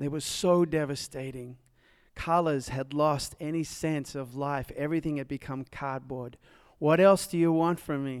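Man in a Tennessee accent, fairly high pitch and moderate pace, on a very clean recording with a silent background. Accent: Southern US (Tennessee). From Nashville, Tennessee. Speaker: speaker sharing testimony, formerly homeless. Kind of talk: testimony. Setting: stage with audience.

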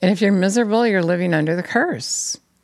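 A woman with a normal speaking voice talks at a fairly quick pace and a medium pitch. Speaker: preacher. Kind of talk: sermon, preacher in full flow, urgent exhortation ending in prayer. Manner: fervent, insistent, pressing repeated phrases like a hammering appeal.

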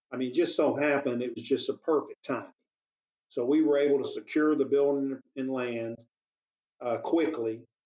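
A man speaks at a moderate pace in a fairly high pitch. His tone is dark and mellow, and his intonation is monotone and flat. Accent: Texan. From East Texas. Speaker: business owner. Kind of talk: interview.

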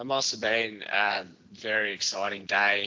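A man with an Australian accent. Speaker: interviewer. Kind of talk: casual interview.

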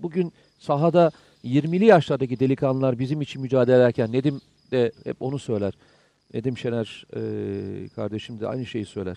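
The tone is dark and mellow, delivered at a moderate pace. The sound is dry and close with no echo. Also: man, medium pitch for a man, ordinary pitch variation. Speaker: security expert. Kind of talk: live TV discussion. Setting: on location at the Syrian border.

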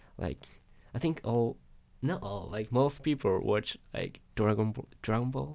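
A man with a Japanese accent speaks at a medium pitch and a fairly slow pace, his intonation lively. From Japan, Yokohama. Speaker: international student. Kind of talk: interview. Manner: halting.

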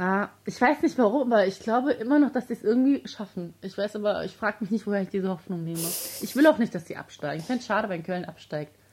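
A woman speaks at a very fast pace in a medium pitch, her voice somewhat breathy. Her tone is animated, with lively intonation and big swings in loudness. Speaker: football podcast co-host. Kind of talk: casual chat.

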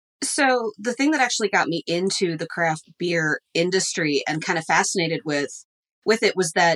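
A woman in a normal speaking voice talks at a moderate pace with lively intonation, the sound dry and close with no echo. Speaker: business professor. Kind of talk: casual interview.

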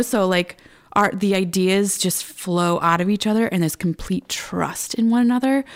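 In a very clean recording with a silent background, a woman with an ordinary speaking voice talks at a moderate pace and medium pitch. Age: 30s. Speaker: photographer. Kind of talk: interview.

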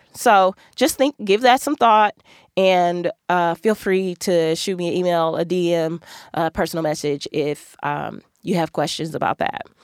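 A woman with an American accent and an unremarkable speaking voice talks at a fairly slow pace, fairly low in pitch with ordinary pitch variation. The sound is dry and close with no echo, on a very clean recording with a silent background. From US Midwest, Milwaukee. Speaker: podcast host and attorney. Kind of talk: casual monologue, career advice. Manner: conversational with many filler ums.

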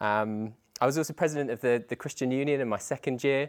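Over a silent background in a very clean recording, a man talks at a fairly quick pace and medium pitch with ordinary pitch variation and a dry, close sound with no echo. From southeast England. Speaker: church youth leader and teacher. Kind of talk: talk or sermon to a conference audience. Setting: conference session with audience. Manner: fast talker.

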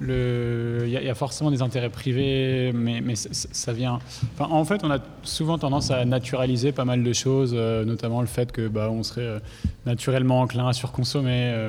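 A man's normal speaking voice at a medium pitch, moderate in pace, with fairly even intonation. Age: 20s. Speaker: environmental professional, debate participant. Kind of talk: panel debate.

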